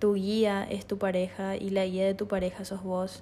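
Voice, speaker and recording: A woman with a Paraguayan accent, medium pitch, a dark, mellow tone and a fairly slow pace. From Paraguay, Asunción. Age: 20s. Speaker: podcast host, illustrator and tourism student. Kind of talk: solo reflective monologue.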